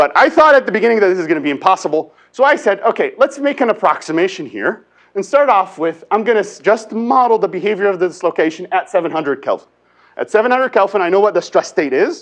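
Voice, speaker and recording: This man has a high pitch with very wide pitch swings and talks at a very fast pace. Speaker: engineering professor. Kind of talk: lecture.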